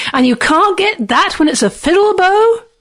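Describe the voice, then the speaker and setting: Using a put-on character voice, a woman pitches her speech extremely high. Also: moderate pace. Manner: taunting, mocking, enjoying himself.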